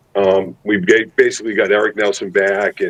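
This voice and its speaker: A man with a Massachusetts accent at a moderate pace. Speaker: high school football head coach. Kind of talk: interview. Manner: halting with many repeated words.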